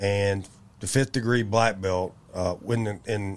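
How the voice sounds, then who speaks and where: A man with a Tennessee accent talks at a very slow pace, fairly low in pitch with fairly even intonation, in a very clean recording with a silent background. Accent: US Southern (Tennessee). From Memphis, Tennessee. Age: 50s. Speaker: martial arts coach. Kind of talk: interview.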